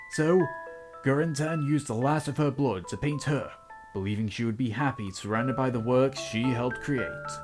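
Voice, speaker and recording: Music in the background behind a man at medium pitch, moderate pace and ordinary pitch variation. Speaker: game reviewer. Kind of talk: game review commentary. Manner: trying to sound professional.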